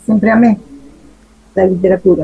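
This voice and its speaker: A woman speaks in a somewhat breathy voice. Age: 50s. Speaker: writer. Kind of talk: interview answers.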